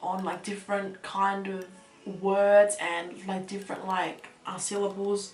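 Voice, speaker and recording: A woman at medium pitch speaks at a fairly slow pace in a monotone, flat intonation. Noticeable background noise and audible room echo surround her. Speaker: vlogger. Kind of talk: personal confession vlog. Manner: halting, getting stuck on words.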